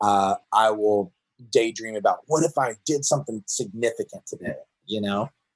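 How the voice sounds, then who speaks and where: A man's voice, dry and close without any echo, moves along at a medium speed. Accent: American. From US South, Georgia. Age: 40s. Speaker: pastor. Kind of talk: casual interview.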